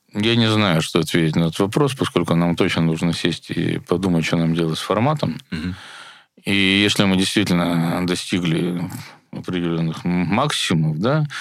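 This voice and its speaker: A man's very deep, low voice at a moderate pace with ordinary pitch variation, in a very clean recording with a silent background. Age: 60s. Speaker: festival director and musician. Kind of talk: casual interview.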